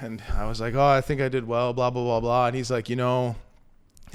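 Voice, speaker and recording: At a fairly quick pace, a man with a medium pitch speaks in an animated tone over a very clean recording with a silent background. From Canada. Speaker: professional baseball player. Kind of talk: casual chat.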